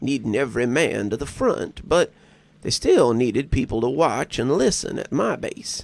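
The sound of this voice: The text is read in an unforced reading voice. Nothing about the delivery sounds pushed.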